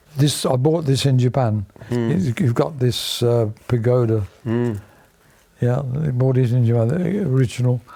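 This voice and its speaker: Noticeable background noise behind a man at a medium pitch, with ordinary pitch variation and a fairly slow pace. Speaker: Royal Navy veteran. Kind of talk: interview answer.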